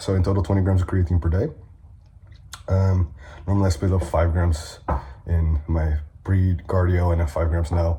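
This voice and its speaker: A man's very deep, low voice at a moderate pace, with fairly even intonation, long, frequent pauses and noticeable background noise. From Netherlands. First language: Dutch. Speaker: bodybuilder and fitness coach. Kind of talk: vlog. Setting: at home.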